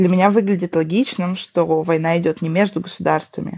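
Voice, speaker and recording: A woman's medium-pitched, normal speaking voice at a moderate pace, with fairly even intonation. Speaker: artist and activist. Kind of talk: panel discussion, re-voiced.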